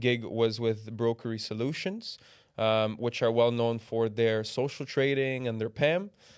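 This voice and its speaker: Fairly even intonation at a moderate pace, with a slight Canadian accent. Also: man. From Canada, Toronto. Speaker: business development manager at a trading tech firm. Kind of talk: podcast interview.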